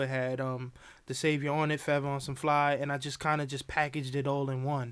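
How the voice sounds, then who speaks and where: Fairly high-pitched man at a fairly quick pace, monotone and flat, in a very clean recording with a silent background. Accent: New York. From New York, the Bronx. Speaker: rapper and designer. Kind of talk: casual interview. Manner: halting, many fillers.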